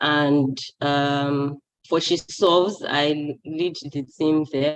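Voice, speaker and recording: A woman speaks with a very deep, low pitch. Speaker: youth development advocate. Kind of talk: presentation at online event.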